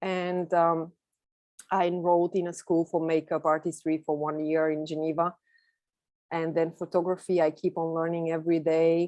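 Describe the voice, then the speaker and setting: A woman with a Bulgarian accent speaks at a moderate pace and a fairly low pitch, with a dark, mellow tone. Her intonation is monotone and flat, against a quiet background. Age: 30s. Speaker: photographer. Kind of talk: presentation talk.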